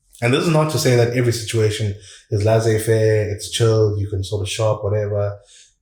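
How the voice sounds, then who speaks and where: A man with a fairly low pitch speaks at a fairly quick pace as noticeable background noise continues. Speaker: communication coach. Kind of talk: podcast interview.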